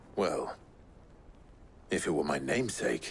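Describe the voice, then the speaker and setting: In a put-on character voice, a man speaks with a very deep, low, raspy pitch at a moderate pace over clear background noise. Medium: short film.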